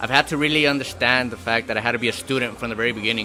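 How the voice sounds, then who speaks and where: Music can be heard in the background. Over it, a man speaks with ordinary pitch variation. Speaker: amateur boxer. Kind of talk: interview answer. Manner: soft-spoken.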